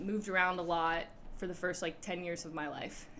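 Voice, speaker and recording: In a plain, everyday voice, a woman speaks with an American accent. Her pitch is medium and her intonation fairly even. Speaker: youth leader. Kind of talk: interview.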